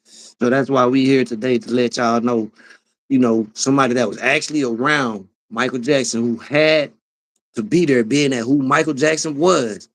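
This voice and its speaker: Against a quiet background, a man talks at medium pitch and a moderate pace with ordinary pitch variation. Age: 30s. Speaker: live streamer. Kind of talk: casual livestream commentary. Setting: livestream. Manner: animated, repetitive.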